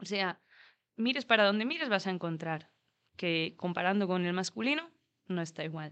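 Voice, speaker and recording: A woman speaks at a moderate pace and medium pitch with lively intonation. She leaves long, frequent pauses against a quiet background. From Spain, Asturias (Gijón). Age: 30s. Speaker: roller hockey player. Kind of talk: interview. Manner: halting.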